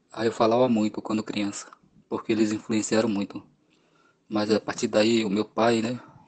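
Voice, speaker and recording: At a moderate pace, a man speaks in a fairly low pitch with monotone, flat intonation. Long, frequent pauses run through his speech. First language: Wanano (speaking Portuguese). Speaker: pedagogy student. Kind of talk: interview answers. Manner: halting.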